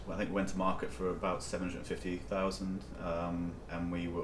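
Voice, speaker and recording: Speaking at a fairly quick pace in a northeast English accent, the voice carries audible room echo. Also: man. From northeast England, County Durham. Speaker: company CEO. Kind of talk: interview.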